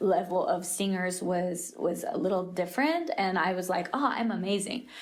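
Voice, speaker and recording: A moderate pace and ordinary pitch variation, with audible room echo. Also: woman. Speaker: creative leader and church singer. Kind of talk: interview. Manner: halting, many fillers and self-corrections; rambling.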